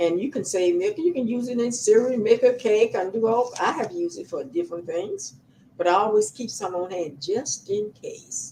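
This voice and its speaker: Her voice is fairly high and somewhat breathy. This woman's pitch swings very widely. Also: moderate pace. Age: 90s. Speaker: homesteading advice YouTuber. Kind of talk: casual talk to camera. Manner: halting.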